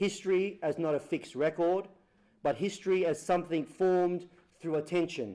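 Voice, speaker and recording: With an Australian accent, a man speaks at a moderate pace in a fairly high pitch, with a dark, mellow tone and ordinary pitch variation. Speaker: photographer and author. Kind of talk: lecture.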